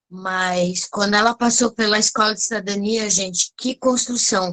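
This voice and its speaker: A woman's fairly high voice with ordinary pitch variation, at a fairly slow pace. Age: 60s. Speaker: course facilitator. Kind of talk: casual chat.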